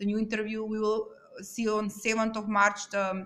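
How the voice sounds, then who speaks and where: At a moderate pace, a woman with a non-native accent speaks in a fairly high pitch. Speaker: YouTuber true crime commentator. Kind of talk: casual vlog commentary. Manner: halting, many fillers.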